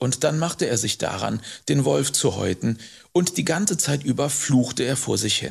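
Vocal fry in a calm, warm tone with lively intonation. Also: man, medium pitch for a man. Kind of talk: audiobook narration, bedtime story telling. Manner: calm, warm storyteller pace, slow and expressive.

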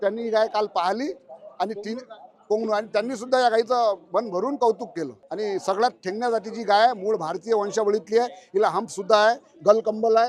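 High pitch for a man, paired with ordinary variation in the voice. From Vidarbha, Maharashtra (Akola district). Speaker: cow breeder and farmer. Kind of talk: interview at a livestock exhibition. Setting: livestock exhibition.

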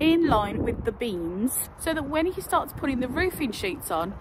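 At a fairly slow pace, a woman speaks with a high pitch and very wide pitch swings, in a dry sound with no echo and noticeable background noise. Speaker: vlogger. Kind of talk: casual vlog chat. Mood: cheerful, a bit strained. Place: open country. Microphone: phone near.

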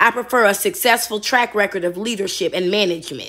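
This woman has a fairly high pitch and a bright, sharp tone. She sounds animated, with ordinary pitch variation. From Chicago, north side. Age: 40s. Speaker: YouTube commentator. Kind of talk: video commentary.

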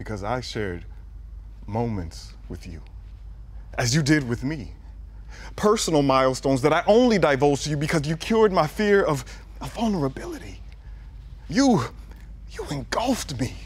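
A man at a moderate pace, with long, frequent pauses and big swings in loudness. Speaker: spoken word poet. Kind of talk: poetry reading. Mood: emotional, intimate. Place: studio.

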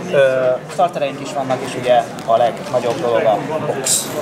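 Over clear background noise, a man talks at medium pitch with fairly even intonation.

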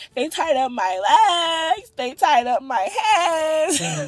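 Putting on a character voice, a man speaks at a very slow pace in an extremely high pitch. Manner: comedic, imitative.

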